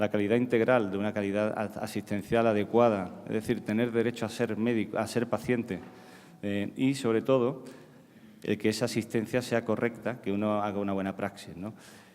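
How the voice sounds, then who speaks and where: The delivery is monotone and flat in intonation, moving at a fairly quick pace. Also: man, fairly low pitch for a man. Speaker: psychiatrist. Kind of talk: conference talk. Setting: stage with audience. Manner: halting, many repetitions.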